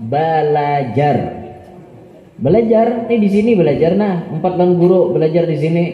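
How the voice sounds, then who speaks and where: Over noticeable background noise, a man with a South Kalimantan accent speaks at a high pitch and a moderate pace. His loudness is very even, with ordinary pitch variation. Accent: Banjar, Kelua dialect. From South Kalimantan, Indonesia. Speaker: Islamic preacher. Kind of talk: religious sermon. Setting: live gathering. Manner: humorous.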